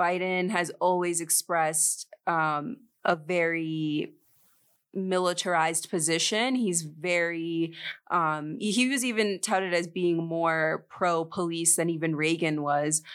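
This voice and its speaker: A woman's normal speaking voice with an American accent, fairly low in pitch with ordinary pitch variation, at a fairly slow pace and very even loudness, on a very clean recording with a silent background. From United States. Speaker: program co-director, human rights accompanier. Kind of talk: casual panel interview.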